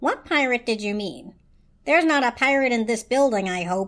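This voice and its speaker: A woman puts on a character voice. Her pitch is high and her pace moderate. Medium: read story. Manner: clipped, proper.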